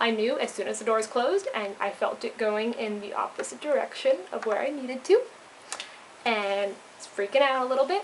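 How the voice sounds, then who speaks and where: Over noticeable background noise, a woman with fairly high pitch speaks with lively intonation. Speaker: vlogger, intern abroad. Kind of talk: casual vlog storytelling. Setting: indoors at a share house at night.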